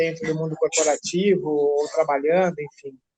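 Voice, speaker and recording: Speaking at a fairly low pitch, a woman keeps a moderate pace with ordinary pitch variation. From São Paulo, Brazil. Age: 50s. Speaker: advertising professional. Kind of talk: group discussion. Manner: halting.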